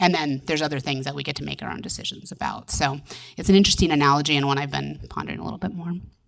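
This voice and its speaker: A woman speaks at a very fast pace in a very deep, low pitch, with ordinary pitch variation over noticeable background noise. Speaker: privacy panelist. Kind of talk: panel discussion.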